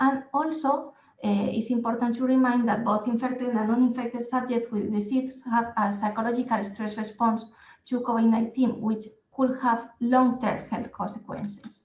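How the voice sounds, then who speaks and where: Speaking at a moderate pace with a Spanish accent, a woman holds a monotone, flat intonation in a fairly high pitch. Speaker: nursing and physiotherapy researcher. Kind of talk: conference presentation. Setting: online conference. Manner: hesitant, with fillers.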